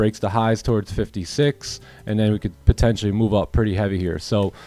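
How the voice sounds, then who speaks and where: Music plays in the background as a man with fairly low pitch speaks at a moderate pace. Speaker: day trading streamer. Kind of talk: live trading stream commentary. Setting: livestream. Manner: casual, conversational.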